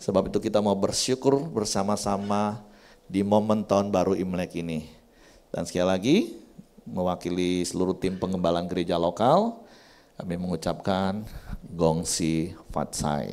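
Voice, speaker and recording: Very deep, low male voice with a dark, mellow tone, a Javanese accent and a moderate pace. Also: ordinary pitch variation. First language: Javanese (speaking Indonesian). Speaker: pastor. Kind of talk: sermon. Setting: church.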